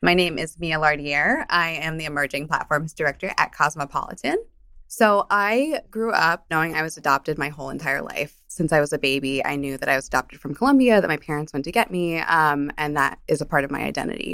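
Fairly quick, with hardly any pauses, the speaker has a New Jersey accent, a bright, sharp tone and ordinary pitch variation in a very clean recording with a silent background. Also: woman, very deep, low pitch for a woman. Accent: New Jersey American. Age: 30s. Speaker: media director. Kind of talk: interview. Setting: in person.

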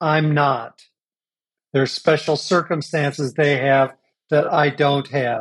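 A man with a Midwestern American accent speaks at a very slow pace, pausing long and often. His loudness stays very even. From US Midwest (Champaign, Illinois). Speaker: business coach and trainer. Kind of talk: interview conversation.

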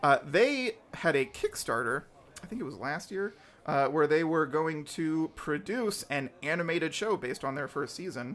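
A man talks at a moderate pace in an unremarkable speaking voice. His pitch is fairly high and his intonation is lively. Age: 30s. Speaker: podcast host. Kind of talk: casual chat.

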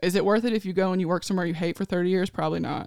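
A woman with a Tennessee accent at a medium pitch, in a dry, close sound with no echo. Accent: Southern US (Tennessee). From Nashville, Tennessee. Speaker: ICU travel nurse and social media creator. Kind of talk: casual chat. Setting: studio.

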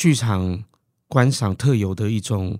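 A man speaks in a fairly low pitch with a dark, mellow tone and ordinary pitch variation. The recording is very clean, with a silent background. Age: 40s. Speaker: theatre curator and drama lecturer. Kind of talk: casual chat. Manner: halting, many fillers.

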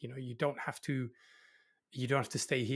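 A man with a Dutch accent talks at a very fast pace with fairly even intonation, his voice somewhat breathy. The recording is very clean, with a silent background. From Netherlands. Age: 40s. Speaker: innovation consultant. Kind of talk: casual chat.

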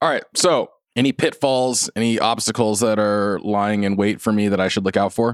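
This man has a plain, everyday voice with a fairly low pitch and ordinary pitch variation. His loudness stays very even at a moderate pace. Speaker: podcast host. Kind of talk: casual chat, interview.

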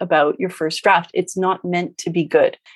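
A woman speaks at a fairly low pitch over music in the background. The sound is dry and close, with no echo. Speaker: romance author and writing coach. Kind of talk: casual interview chat.

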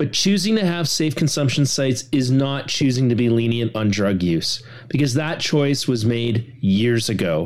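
A man of medium pitch speaks with a Canadian accent and lively intonation. His tone is animated and his loudness very even. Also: moderate pace, hardly any pauses. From Western Canada. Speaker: political commentator. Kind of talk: rant.

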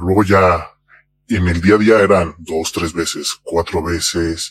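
A man speaks at a fairly slow pace with a Mexican accent. His pitch varies in an ordinary way. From Mexico. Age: 40s. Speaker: anonymous interviewee. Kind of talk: testimony.

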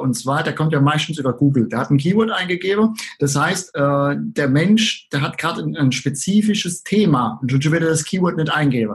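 A somewhat breathy man's voice, fairly high in pitch with ordinary variation, at a moderate pace with hardly any pauses. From Southern Palatinate, Germany. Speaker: online marketing entrepreneur. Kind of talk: interview.

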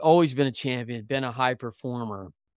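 In a dry, close recording with no echo, a man with a medium pitch speaks in an energetic tone at a fairly quick pace, with ordinary pitch variation. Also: very clean recording, silent background. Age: 50s. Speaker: podcast host and baseball coach. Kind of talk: interview.

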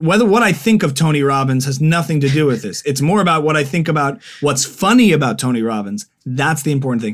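Very fast, hardly any pauses, lively intonation, and an American accent. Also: man, fairly high pitch for a man. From New Jersey. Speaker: musician and comedian. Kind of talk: casual interview.

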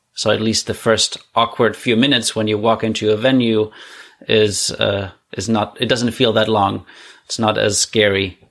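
Speaking at a moderate pace, a man with a German accent keeps a monotone, flat delivery. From Germany, Heilbronn. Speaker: guest, immigrant to Canada. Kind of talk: casual interview chat.

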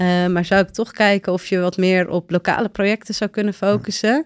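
On a very clean recording with a silent background and a dry, close sound with no echo, a woman speaks in an ordinary speaking voice at medium pitch and a moderate pace, with fairly even intonation. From Netherlands, Friesland village. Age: 30s. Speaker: volunteer traveller. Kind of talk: interview.

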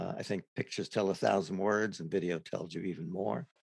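A man's very deep, low voice with vocal fry, an American accent, ordinary pitch variation and a dry, close sound with no echo. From New York City (Brooklyn). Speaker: hunger walk volunteer. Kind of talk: interview.

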